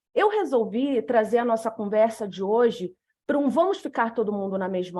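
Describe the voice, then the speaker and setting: With a northern Brazilian accent, a woman talks at a moderate pace in a fairly high voice with lively intonation, on a very clean recording with a silent background. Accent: northern Brazilian, dragged R and hissing S. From northern Brazil, Macapá, Amapá. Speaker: lawyer and speaker on legal design. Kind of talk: lecture presentation.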